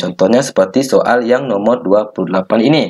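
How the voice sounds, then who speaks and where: This is a man speaking. His pace is fairly quick. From Minangkabau, West Sumatra. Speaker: geography and economics teacher. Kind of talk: educational tutorial talk.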